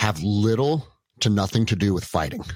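The recording is very clean, with a silent background. A man with an unremarkable speaking voice talks at a moderate pace, his fairly low pitch carried by lively intonation. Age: 40s. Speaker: jiu jitsu gym owner and former police officer. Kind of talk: casual chat.

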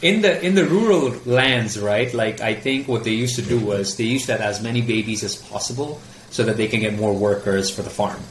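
Noticeable background noise sits behind this man. He talks at a fairly quick pace with hardly any pauses. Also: medium pitch for a man, ordinary pitch variation. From Mumbai, India. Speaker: filmmaker and video producer. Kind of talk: interview. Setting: remote call. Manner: halting.

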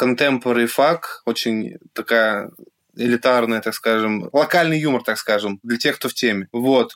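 A man talks at a moderate pace and medium pitch with ordinary pitch variation in a normal speaking voice, recorded dry and close with no echo. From Russia, Yekaterinburg. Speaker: artist and blogger. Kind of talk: casual interview.

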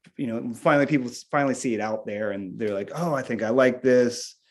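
A man's medium-pitched, fairly evenly intoned voice with an American accent, a normal speaking voice, against a quiet background. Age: 40s. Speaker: rock drummer. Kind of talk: casual interview chat. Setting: remote call from home music room.

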